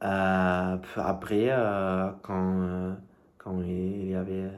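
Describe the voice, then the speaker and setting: A man's very deep, low voice with a non-native accent, flat and monotone, very slow, with audible room echo. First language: not French (speaking French). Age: 20s. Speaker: language learner vlogger. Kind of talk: casual vlog monologue. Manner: halting, many hesitations.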